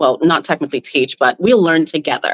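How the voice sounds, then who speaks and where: With a dry, close sound and no echo, a woman talks at a fairly quick pace, her pitch swinging very widely. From Jamaica. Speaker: business founder. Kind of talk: interview.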